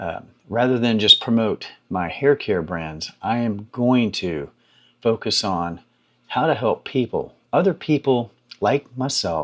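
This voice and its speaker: A man talks in an ordinary speaking voice, pitched in the middle of his range. His intonation moves in a lively way. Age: 60s. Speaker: YouTube creator and hair care business owner. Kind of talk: casual talk to camera. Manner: conversational, with many fillers.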